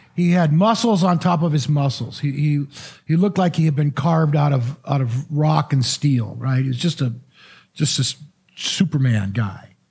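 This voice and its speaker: A man with an American accent, fairly high-pitched and somewhat breathy, at a moderate pace with ordinary pitch variation and very even loudness. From Missouri. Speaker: pastor. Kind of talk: sermon. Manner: halting, repeats words.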